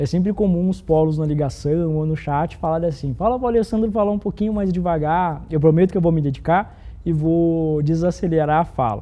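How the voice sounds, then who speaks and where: Here a man talks at a fairly quick pace with a fairly high pitch. He uses ordinary pitch variation and hardly pauses at all. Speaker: corporate program presenter. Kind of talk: live corporate broadcast. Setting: studio, live internal broadcast with virtual set. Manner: fast.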